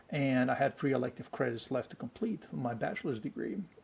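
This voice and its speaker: With a Bulgarian accent, a man speaks at medium pitch in a somewhat breathy voice. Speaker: actor. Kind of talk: interview. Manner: animated, many fillers.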